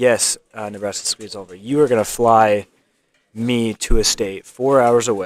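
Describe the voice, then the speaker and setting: Mumbling at a fairly slow pace, a man talks at medium pitch with fairly even intonation. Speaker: live stream commentator at a speedcubing competition. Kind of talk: live stream commentary. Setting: live stream at a competition venue. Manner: halting.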